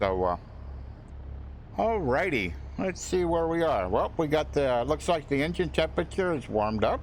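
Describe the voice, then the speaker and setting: With very even loudness but very wide pitch swings, this voice moves at a moderate pace with vocal fry and long, frequent pauses. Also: man, fairly high pitch for a man. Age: 70s. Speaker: flight sim streamer. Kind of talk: live stream commentary. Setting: live stream. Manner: halting.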